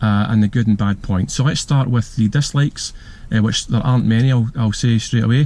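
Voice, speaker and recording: In a strong Glasgow accent, a man speaks at a medium pitch with a dark, mellow tone and fairly even intonation. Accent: thick Glasgow. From Scotland, Glasgow. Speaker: car reviewer, YouTuber. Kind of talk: casual video review while driving. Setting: in a car. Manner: hesitant, many fillers.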